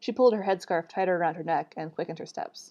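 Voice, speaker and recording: A woman's fairly low-pitched voice with ordinary pitch variation against a quiet background. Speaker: author reading own book. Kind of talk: reading aloud. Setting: livestream. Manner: fast.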